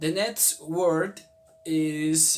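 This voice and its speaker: A man speaks with a Spanish accent. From Colombia. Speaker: language video creator. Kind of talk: casual tutorial. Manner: halting, many fillers.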